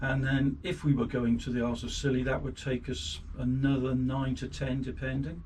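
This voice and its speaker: A man with an English accent speaks with hardly any pauses and fairly even intonation. Audible room echo and noticeable background noise surround him. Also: medium pitch for a man, moderate pace. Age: 60s. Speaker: boat owner and amateur boat builder. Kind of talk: casual interview. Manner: hesitant, with fillers.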